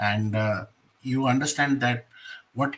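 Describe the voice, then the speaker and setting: With an Indian accent, a man speaks at a moderate pace in a medium pitch. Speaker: exam coaching mentor. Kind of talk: lecture. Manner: hesitant, with fillers.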